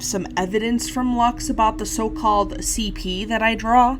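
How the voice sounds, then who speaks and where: The voice has an angry, intense tone at a moderate pace, with noticeable background noise. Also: woman. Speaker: YouTuber and animator. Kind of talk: commentary video. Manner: sounds angry-ish, intense; stuttering, halting.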